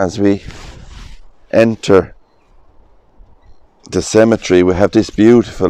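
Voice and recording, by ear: A slow man's voice, fairly low in pitch, with a clear, smooth tone that is dark and mellow.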